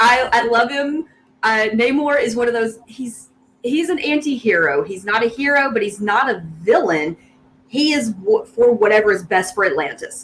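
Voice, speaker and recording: With an American accent, a woman talks at a moderate pace, her pitch fairly high and her intonation lively. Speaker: guest geek fan. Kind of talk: casual chat.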